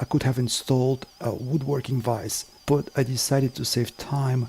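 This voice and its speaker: A man's medium-pitched voice stays monotone and flat as he talks at a moderate speed. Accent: non-native. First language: not English. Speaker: woodworking and bushcraft video maker. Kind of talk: scripted narration. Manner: formal.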